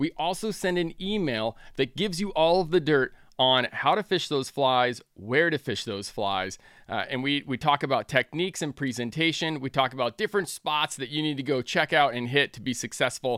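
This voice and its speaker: This man has an unremarkable speaking voice, fairly high in pitch, with an American accent, lively intonation and a moderate pace, heard in a dry, close sound with no echo on a very clean recording with a silent background. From Northern California. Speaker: podcast host and fly shop owner. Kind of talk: promotional read; casual chat.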